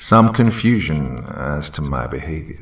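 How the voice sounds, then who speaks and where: A man growls his lines in a put-on character voice. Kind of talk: horror story reading. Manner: menacing, accusatory, preaching.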